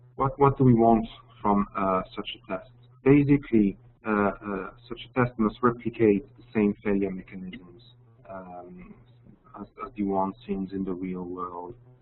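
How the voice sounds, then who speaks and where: Talking fairly slowly with a French accent, a man uses a fairly low pitch, ordinary pitch variation and big swings in loudness. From France. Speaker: application engineer. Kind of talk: webinar presentation. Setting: online webinar. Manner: halting, many fillers.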